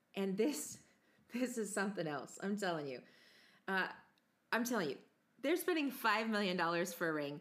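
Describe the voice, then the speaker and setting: A woman talks at a moderate pace with long, frequent pauses. Her voice sits at a medium pitch but swings very widely. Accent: American. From United States. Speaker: podcast host.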